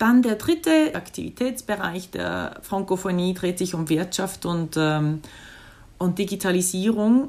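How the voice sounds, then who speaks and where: Recorded very cleanly against a silent background, a woman speaks at a fairly slow pace with a medium pitch and ordinary pitch variation. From Switzerland. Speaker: diplomat. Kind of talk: interview. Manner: halting, with frequent fillers.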